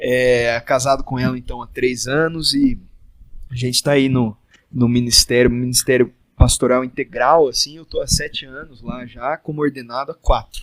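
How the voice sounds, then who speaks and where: In an ordinary speaking voice, a man talks at a medium pitch and moderate pace with fairly even intonation, the sound dry and close with no echo. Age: 20s. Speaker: pastor. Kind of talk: casual chat.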